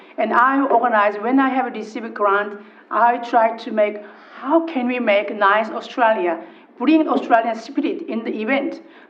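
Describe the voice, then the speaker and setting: The woman's high voice is heard with audible room echo and noticeable background noise. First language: not English. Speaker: local councillor. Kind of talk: council meeting debate. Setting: council chamber. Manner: halting.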